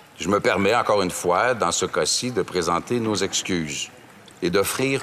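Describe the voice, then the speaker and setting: A man with a Quebec French accent talks at a moderate pace over noticeable background noise. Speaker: member of parliament. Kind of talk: parliamentary debate. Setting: legislative chamber.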